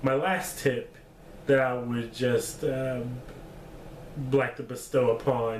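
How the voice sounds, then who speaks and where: A man's medium-pitched voice at a very slow pace, with audible room echo. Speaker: vlogger giving life advice. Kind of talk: casual vlog monologue. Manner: halting, with false starts; laid-back.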